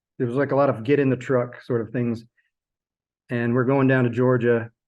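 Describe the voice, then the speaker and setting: A man mumbles at a fairly quick pace. His pitch is medium and his intonation monotone and flat. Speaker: sculpture professor. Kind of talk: interview. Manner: mumbling; halting.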